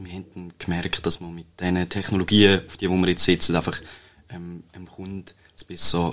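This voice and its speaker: A man's very deep, low voice in a monotone, flat intonation on a very clean recording with a silent background. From Switzerland, Toggenburg (St. Gallen). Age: 20s. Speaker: computer scientist, web agency co-founder. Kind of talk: interview. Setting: studio. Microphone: shared microphone, may sound quieter.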